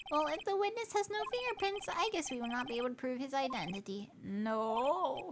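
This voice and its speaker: A female-sounding, put-on character voice speaks high in pitch at a moderate pace, its pitch swinging very widely. Clear background noise runs underneath. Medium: virtual streamer. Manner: formal.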